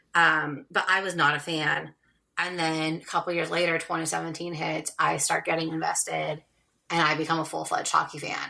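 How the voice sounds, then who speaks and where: Speaking at a moderate pace with a Californian accent, a woman has a very deep, low pitch with vocal fry. Her tone is bright and sharp, and her intonation is monotone and flat. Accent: Californian American. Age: 30s. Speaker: romance author. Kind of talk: podcast interview.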